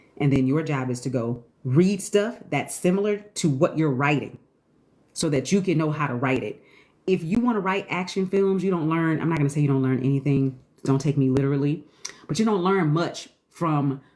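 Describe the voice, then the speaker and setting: The delivery has lively intonation and a moderate pace. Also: woman. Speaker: screenwriting teacher. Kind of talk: live stream Q&A. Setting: TikTok live stream.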